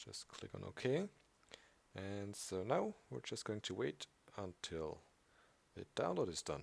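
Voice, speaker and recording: With a slight German accent, a man speaks at a fairly slow pace in a fairly low voice, using lively intonation and long, frequent pauses. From Austria. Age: young. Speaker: programming tutorial maker. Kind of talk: tutorial. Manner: casual, hesitant with fillers.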